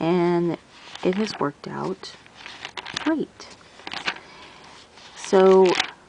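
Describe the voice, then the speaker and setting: Over noticeable background noise, the talking moves very slowly, broken by long, frequent pauses. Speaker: teacher and planner YouTuber. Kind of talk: casual tutorial show-and-tell. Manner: halting, searching for words.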